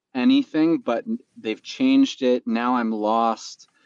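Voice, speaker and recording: A man's medium-pitched voice in a Canadian accent, fairly even in intonation, with a dry, close sound and no echo. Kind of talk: casual chat.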